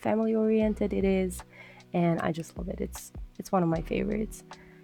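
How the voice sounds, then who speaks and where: A woman with a non-native accent speaks while music plays in the background. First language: not English. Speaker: gaming YouTuber. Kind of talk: voiceover commentary. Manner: halting, many fillers.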